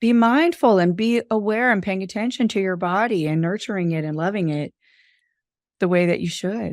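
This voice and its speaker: In a very clean recording with a silent background, a woman uses a normal speaking voice at a medium pitch, a moderate pace and ordinary pitch variation. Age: 50s. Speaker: podcast host. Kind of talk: podcast interview.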